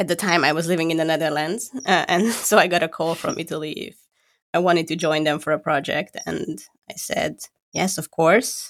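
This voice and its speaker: A woman talks at a moderate pace with ordinary pitch variation, in a plain, everyday voice. The recording is very clean, with a silent background. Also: fairly low pitch for a woman. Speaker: podcast co-host and designer. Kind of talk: casual chat. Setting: recording from home.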